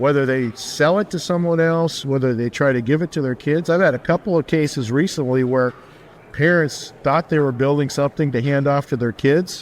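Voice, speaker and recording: Ordinary pitch variation and a fairly quick pace in a plain, everyday voice. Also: man, fairly high pitch for a man. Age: 60s. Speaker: business founder and peer group facilitator. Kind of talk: interview. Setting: on location at a conference.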